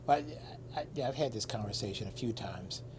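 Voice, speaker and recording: Vocal fry runs through the voice. The speaker is a man. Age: 60s. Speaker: interviewer and photographer. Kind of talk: interview.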